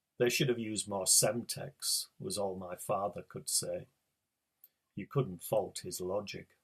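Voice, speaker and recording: This man talks at a fairly slow pace. He has a northeast English accent. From northeast England. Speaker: writer. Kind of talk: reading aloud.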